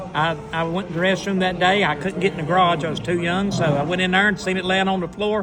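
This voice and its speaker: A man with a high voice races along with hardly a pause, his flat, monotone delivery carrying audible room echo over noticeable background noise. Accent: Southern US. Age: 60s. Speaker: retired race car driver. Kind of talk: casual chat.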